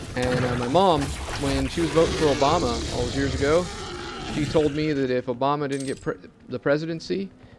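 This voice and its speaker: A medium-pitched man at a fairly quick pace, with ordinary pitch variation and noticeable background noise. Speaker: gaming YouTuber. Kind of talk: profane political rant over gameplay. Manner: angry, run-on, expletive-laden tirade; breathless and escalating, laughing bitterly at the absurdity.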